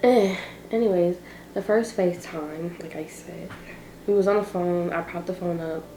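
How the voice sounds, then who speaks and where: A woman at a fairly low pitch and moderate pace, with fairly even intonation, big swings in loudness, long and frequent pauses, audible room echo and noticeable background noise. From Barbados. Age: young. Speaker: vlogger. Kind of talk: casual chat.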